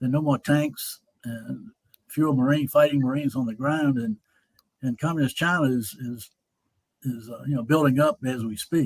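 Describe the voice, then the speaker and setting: Speaking with a North Carolina accent, a man of medium pitch talks at a moderate pace with ordinary pitch variation and long, frequent pauses, in a dry, close sound with no echo. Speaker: Vietnam veteran. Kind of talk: interview.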